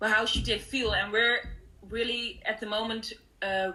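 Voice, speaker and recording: In a Dutch accent, a woman with a fairly high pitch speaks in a bright, sharp tone with monotone, flat intonation. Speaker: artist. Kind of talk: panel interview. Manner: halting.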